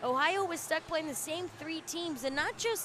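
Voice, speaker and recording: A loud woman's voice with lively intonation at a moderate pace. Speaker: student sports commentator. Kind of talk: live sports commentary.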